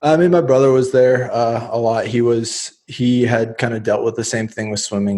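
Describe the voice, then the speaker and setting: Fairly quick in pace, a man talks in a dark, mellow tone. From US, central Oregon. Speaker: professional poker player. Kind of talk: interview.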